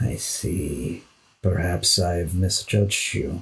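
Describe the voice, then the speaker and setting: In a put-on character voice, a man talks at a very slow pace with a very deep, low pitch. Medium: actual play. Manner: measured, authoritative.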